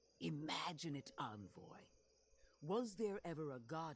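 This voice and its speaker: The pace is fairly slow. A put-on character voice does the talking. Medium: video game. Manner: solemn, intense.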